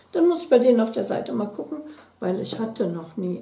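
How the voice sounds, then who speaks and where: A woman with lively intonation at a moderate pace, with audible room echo. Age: 60s. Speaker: beauty product YouTuber. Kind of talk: unboxing video, casual chat. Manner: chatty. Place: home room.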